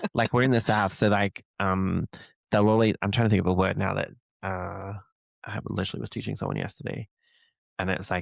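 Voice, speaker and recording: A man with an American accent talks at a fairly quick pace with fairly even intonation and long, frequent pauses. The sound is dry and close with no echo, on a very clean recording with a silent background. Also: fairly low pitch for a man. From Australia. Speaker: vocal coach. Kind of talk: casual chat. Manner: fast, many fillers.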